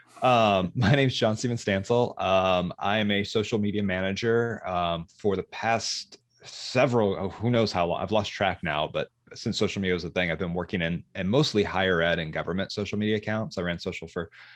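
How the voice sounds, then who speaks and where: A man's fairly low voice with an American accent, fairly quick and with hardly any pauses, ordinary pitch variation, and a quiet background. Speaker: social media manager. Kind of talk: podcast interview. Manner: halting, many repetitions and fillers.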